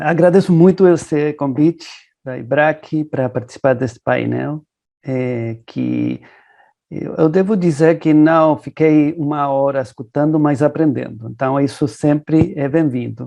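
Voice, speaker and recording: Speaking in a Spanish accent, a man with a fairly high pitch and a dark, mellow tone shows ordinary pitch variation. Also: fairly slow pace. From Argentina. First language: Spanish (speaking Portuguese). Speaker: consumer rights lawyer. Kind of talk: panel talk.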